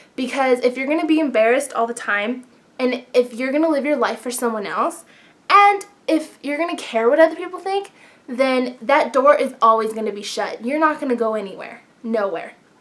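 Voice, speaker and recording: Loud and animated, a woman with a high pitch speaks at a fairly quick pace with lively intonation over noticeable background noise. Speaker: beauty vlogger. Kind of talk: casual advice vlog.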